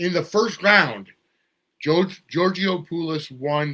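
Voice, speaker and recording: Bright and sharp in tone, a man speaks at a very slow pace with lively intonation. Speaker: wrestling show host. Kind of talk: solo event recap. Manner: halting, many fillers.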